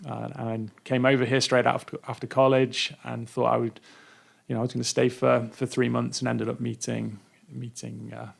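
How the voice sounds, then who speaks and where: A man speaks with an English accent. His loudness swings widely at a moderate pace. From England, Derby (Midlands). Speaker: nonprofit education worker. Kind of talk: radio interview. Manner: halting, many repeated words.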